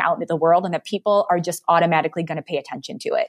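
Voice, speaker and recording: A woman at a very fast pace with an American accent, in a dry, close sound with no echo. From US Midwest, Detroit. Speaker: marketing agency co-founder. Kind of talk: interview.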